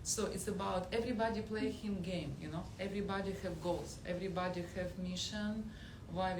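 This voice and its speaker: Delivered at a moderate pace in a Russian accent, the speech sounds monotone and flat, with noticeable background noise and audible room echo. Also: woman. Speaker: audience member at film premiere. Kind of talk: audience discussion. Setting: theater with audience. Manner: halting.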